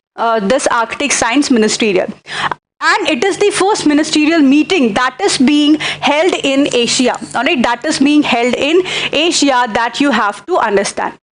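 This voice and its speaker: A woman's high voice with lively intonation and very even loudness. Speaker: teacher. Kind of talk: lecture. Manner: slow.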